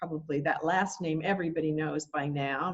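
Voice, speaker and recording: A woman with a plain, everyday voice speaks at a fairly low pitch with ordinary pitch variation. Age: 60s. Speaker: summit interviewer. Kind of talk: interview.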